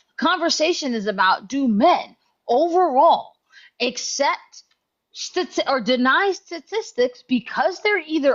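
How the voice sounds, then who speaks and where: A loud, high-pitched woman's voice at a fairly slow pace, with very wide pitch swings. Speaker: chat room moderator. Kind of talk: heated debate.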